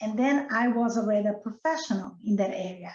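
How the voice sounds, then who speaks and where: At a moderate pace, a woman speaks in a somewhat breathy voice at a fairly high pitch with ordinary pitch variation. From Brazil. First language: Portuguese. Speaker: business director. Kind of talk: interview. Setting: podcast. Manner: halting.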